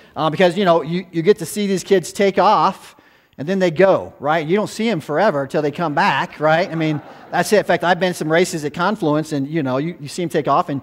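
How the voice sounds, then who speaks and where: At a fairly quick pace, a man speaks in a high pitch with ordinary pitch variation. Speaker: guest preacher, former youth pastor. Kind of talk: sermon. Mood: warm, conversational, light humor. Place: church.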